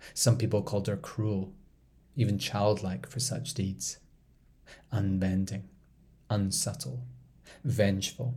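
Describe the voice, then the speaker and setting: A man with a fairly low pitch and a dark, mellow tone speaks with vocal fry in an intense, dramatic tone, using lively intonation at a fairly slow pace with long, frequent pauses. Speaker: storyteller podcast host. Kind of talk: mythic storytelling narration, performed reading of a dark Greek myth; podcast intro and outro, direct address. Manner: hushed, incantatory, intense and dramatic, measured pacing with rhythmic repetition.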